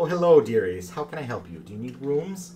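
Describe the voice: Putting on a creaky character voice, a man of medium pitch talks at a fairly quick pace with very wide pitch swings and big swings in loudness over clear background noise.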